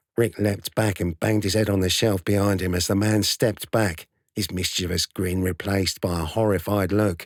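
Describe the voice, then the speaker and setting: A nasal, put-on character voice delivers monotone, flat intonation at a moderate pace with very even loudness and a dry, close sound with no echo. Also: man, fairly low pitch for a man. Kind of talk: narration reading.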